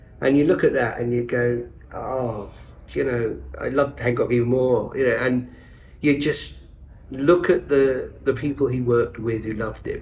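A man at a fairly slow pace, slightly mellow in tone, with fairly even intonation. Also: medium pitch for a man.

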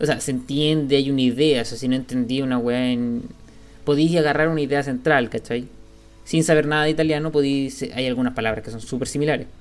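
A man with a fairly high voice speaks fairly quickly, keeping his intonation fairly even. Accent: Chilean. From Chile, Santiago (Vitacura). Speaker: podcaster. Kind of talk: casual chat.

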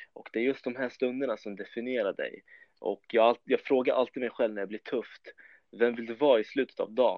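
It is a plain, everyday voice, belonging to a man with a medium pitch. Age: 20s. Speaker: competitive bodybuilder. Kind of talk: podcast interview.

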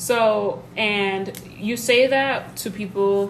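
A woman with medium pitch speaks with lively intonation through noticeable background noise. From Mali-born, raised in Georgia, US. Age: 20s. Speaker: podcast host. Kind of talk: casual chat.

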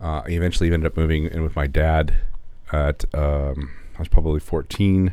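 A man with an American accent, very deep and low in pitch, fairly quick in pace, fairly even in intonation, over noticeable background noise. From Los Angeles area, California, US. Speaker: podcast co-host and video producer. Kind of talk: casual chat. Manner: halting.

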